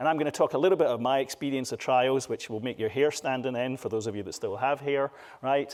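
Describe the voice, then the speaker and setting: A man with a Scottish accent speaks at a very fast pace and a fairly high pitch in a very clean recording with a silent background. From Scotland. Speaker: patient advocate speaker. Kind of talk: conference talk. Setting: stage with audience. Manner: animated.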